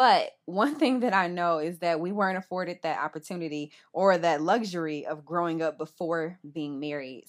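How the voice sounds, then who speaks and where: On a very clean recording with a silent background, a woman in a plain, everyday voice talks at a moderate pace with a fairly low pitch and ordinary pitch variation. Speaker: podcast co-host, mother. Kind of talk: casual chat.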